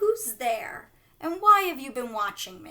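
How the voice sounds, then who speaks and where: Using a put-on character voice, a woman speaks at a fairly slow pace in a raised, projected voice with an extremely high pitch, very wide pitch swings, and hissing. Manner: suspicious, wary.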